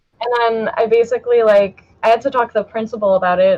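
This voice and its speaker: Fairly quick in pace, a woman speaks at a fairly high pitch. Her intonation stays fairly even. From Canada, Toronto. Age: 20s. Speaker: artist. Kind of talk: casual chat.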